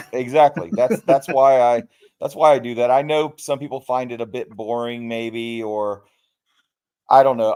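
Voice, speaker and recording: A man at a medium pitch with ordinary pitch variation, on a very clean recording with a silent background. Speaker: YouTuber. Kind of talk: casual chat. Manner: slow, deliberate; clear enunciation.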